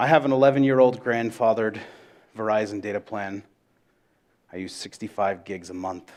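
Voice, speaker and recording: Loud and at a fairly quick pace, the speaker uses ordinary pitch variation and leaves long, frequent pauses. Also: man, fairly low pitch for a man. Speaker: conference speaker, data analytics educator. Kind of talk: conference presentation. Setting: stage with audience. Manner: animated.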